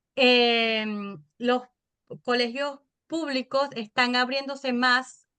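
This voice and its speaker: This woman has a Venezuelan accent. Her pace is very slow. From Venezuela, Caracas. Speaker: podcaster and mother. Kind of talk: interview.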